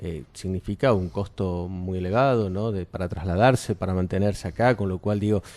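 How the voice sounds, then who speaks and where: Against a quiet background, a man with a very deep, low pitch talks at a moderate pace with ordinary pitch variation and hardly any pauses. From Argentina, Córdoba. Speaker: cultural venue director. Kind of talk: radio interview.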